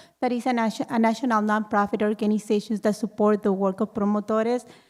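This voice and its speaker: Very fast speech with a Mexican accent keeps a fairly even intonation. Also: woman. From Mexico, Ciudad Juarez. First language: Spanish. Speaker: audience member, community health worker. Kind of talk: public Q&A comment.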